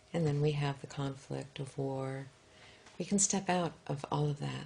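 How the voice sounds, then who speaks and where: A soft-spoken woman with a very deep, low pitch, a dark, mellow tone and a somewhat breathy quality. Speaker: author and spiritual teacher. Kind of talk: interview answer.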